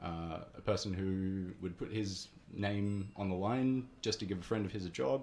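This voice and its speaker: A fairly low-pitched man's voice with ordinary pitch variation. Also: moderate pace. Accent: Australian. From Australia, Canberra. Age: 20s. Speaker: barista and coffee roaster. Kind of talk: radio interview. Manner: hesitant, many fillers.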